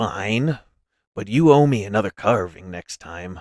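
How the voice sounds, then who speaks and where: Over a silent background in a very clean recording, a man puts on a raspy character voice with a fairly low pitch at a moderate pace. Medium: read story. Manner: gruff, haggling.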